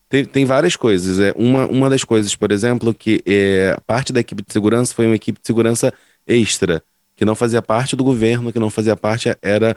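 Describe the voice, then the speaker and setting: A man with an ordinary speaking voice and medium pitch moves at a fairly quick pace, his intonation fairly even and loudness very even, in a dry, close sound with no echo. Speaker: podcast co-host. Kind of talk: casual chat.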